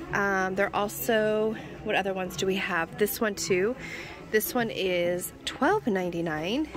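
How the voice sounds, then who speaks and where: Over clear music in the background, a woman speaks at a very slow pace with ordinary pitch variation, the sound dry with no echo. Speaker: shopping vlogger. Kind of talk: casual vlog chat. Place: shop. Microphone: phone near.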